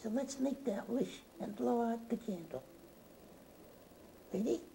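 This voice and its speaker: A cartoonish character voice, female-sounding and fairly high in pitch, moves at a fairly slow pace. Background noise is clear behind it. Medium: puppet.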